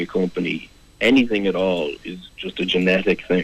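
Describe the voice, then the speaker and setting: A man with a very deep, low pitch talks in a South Dublin accent. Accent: watered-down Irish, sounds like South Dublin. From Ireland, County Kildare. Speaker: management consultant. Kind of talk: radio interview. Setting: radio studio.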